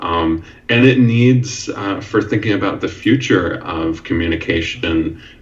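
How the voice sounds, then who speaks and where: A man talks fairly slowly with ordinary pitch variation while noticeable noise runs in the background. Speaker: university English professor. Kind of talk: podcast interview answer. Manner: hesitant, many filler words.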